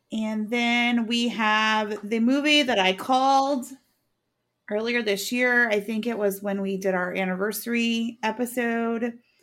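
A woman with a plain, everyday voice speaks at a fairly high pitch and a fairly slow pace, with fairly even intonation, on a very clean recording with a silent background. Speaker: true crime podcast host. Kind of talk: casual chat, recapping a case.

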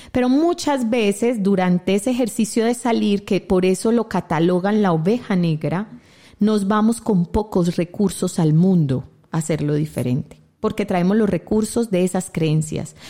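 A woman's dark, mellow tone rises and falls with lively intonation. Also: medium pitch for a woman, moderate pace, very even loudness. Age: 40s. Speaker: radio host and family constellations therapist. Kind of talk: reflective talk show conversation. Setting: online radio studio.

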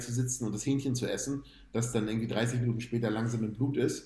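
Somewhat breathy and dark, mellow in tone, a man talks at a fairly quick pace with a medium pitch and monotone, flat intonation, with audible room echo. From northern Germany, Hamburg-Bergedorf. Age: 30s. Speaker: amateur bodybuilder. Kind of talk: casual interview.

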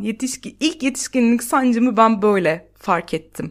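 A woman's voice, fairly high in pitch. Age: 30s. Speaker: podcast host and stand-up comedian. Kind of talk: solo monologue podcast.

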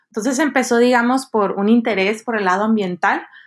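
Recorded very cleanly against a silent background, a woman speaks at a moderate pace in a normal speaking voice with ordinary pitch variation. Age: 20s. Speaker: social development project leader. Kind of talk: casual chat.

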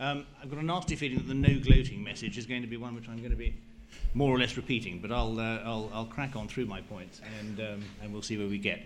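Against noticeable background noise, a man talks at a very fast pace and medium pitch, with ordinary pitch variation and big swings in loudness. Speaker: investment banking association director.

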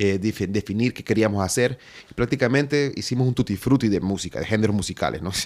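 The speaker talks at a very fast pace in a Honduran accent, with ordinary pitch variation. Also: man, fairly low pitch for a man. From Honduras, inland. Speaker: musician and filmmaker. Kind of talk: interview.

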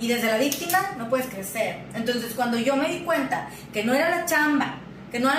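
Over noticeable background noise and audible room echo, a woman with a high pitch talks at a fairly quick pace with lively intonation. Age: 30s. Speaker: therapist and business owner. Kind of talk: interview conversation. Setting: office.

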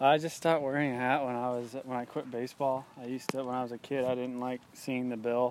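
A man talks at a very fast pace with hardly any pauses. His medium-pitched voice stays monotone and flat. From US South (Georgia). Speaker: professional golfer. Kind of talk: interview.

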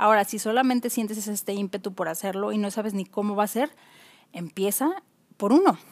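A woman with an unremarkable speaking voice talks at a fairly quick pace and a fairly high pitch. Her pitch variation is ordinary, and the sound is dry and close with no echo. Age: 40s. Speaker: podcast host. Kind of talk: solo podcast monologue.

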